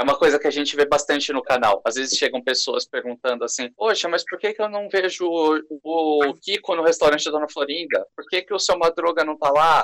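A man's normal speaking voice at a fairly quick pace, fairly high in pitch with ordinary pitch variation, in a dry, close sound with no echo. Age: 20s. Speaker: YouTuber and scriptwriter. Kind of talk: casual chat.

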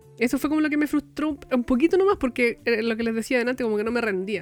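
Music plays in the background as a woman talks at a very fast pace. Her pitch is fairly high. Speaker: podcast co-host, crafter. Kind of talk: casual chat. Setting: recording from home.

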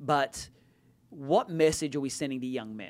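Man with an Australian accent, fairly high-pitched, at a moderate pace, on a very clean recording with a silent background. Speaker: pastor. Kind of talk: casual chat.

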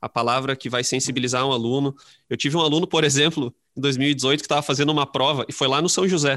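Speech rushes by at a very fast pace with fairly even intonation, in a very clean recording with a silent background and a dry, close sound with no echo. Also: man. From interior of Rio Grande do Sul, Brazil. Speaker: high school literature teacher. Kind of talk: casual interview chat.

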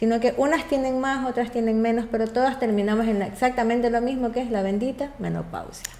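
High-pitched and fairly quick, a woman talks with hardly any pauses and fairly even intonation while noticeable background noise plays. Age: 40s. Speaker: patient. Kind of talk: medical consultation chat.

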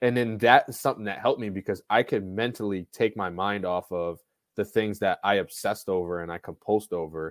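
Recorded dry and close with no echo, a man with a plain, everyday voice and fairly low pitch talks at a fairly quick pace. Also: fairly even intonation, very clean recording, silent background. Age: 20s. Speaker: basketball skills trainer. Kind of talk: casual chat.

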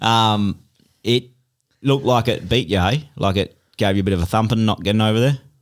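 A man with an Australian accent, his fairly low voice carrying ordinary pitch variation, fairly quick pace and very even loudness. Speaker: podcast host. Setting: studio.

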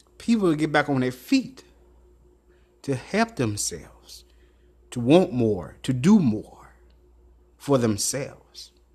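A man speaks very slowly in a fairly high, somewhat breathy voice. His pitch swings very widely, and he leaves long, frequent pauses. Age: 30s. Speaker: podcast host and author. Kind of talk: motivational monologue.

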